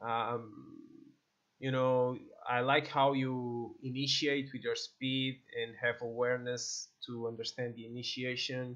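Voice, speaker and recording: With a Portuguese accent, a man speaks at a fairly slow pace in a medium pitch, his intonation monotone and flat. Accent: non-native English, Portuguese. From Portugal. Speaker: esports coach and streamer. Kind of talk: gameplay video review; sales pitch for coaching. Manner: halting, many fillers and repeats.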